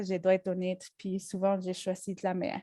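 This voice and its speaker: A woman's medium-pitched voice with a strong Mexican accent and a dark, mellow tone, on a very clean recording with a silent background. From Mexico. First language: Spanish (speaking French). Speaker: travel agency staff and kayak guide. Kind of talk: presentation talk. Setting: conference with audience. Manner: halting, many hesitations.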